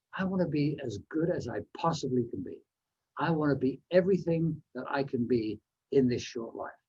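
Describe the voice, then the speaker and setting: A man speaks at a moderate pace with a fairly high pitch and ordinary pitch variation. His tone is dark, mellow and somewhat breathy. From Canada, New Westminster, British Columbia. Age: 70s. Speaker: motivational speaker. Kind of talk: speech.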